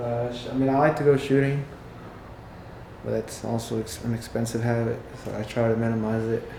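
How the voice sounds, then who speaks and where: Speaking at a fairly quick pace with long, frequent pauses, the voice stays monotone and flat against audible room echo and noticeable background noise. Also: man, medium pitch for a man. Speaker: window tint and paint protection installer and sales rep. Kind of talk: casual interview. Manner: halting, many fillers.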